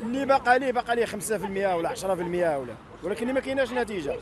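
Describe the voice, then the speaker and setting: A man's high voice at a very fast pace, ordinary pitch variation, dry sound with no echo, and noticeable background noise. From Morocco. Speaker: protester, property buyer. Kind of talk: street interview testimony. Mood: aggrieved, complaining. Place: street. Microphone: handheld.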